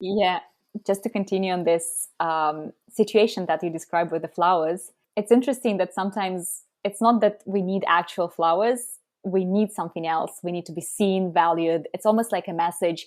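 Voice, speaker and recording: A woman speaks with a Russian accent and fairly even intonation on a very clean recording with a silent background. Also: medium pitch for a woman, moderate pace. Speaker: app co-founder. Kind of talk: podcast interview.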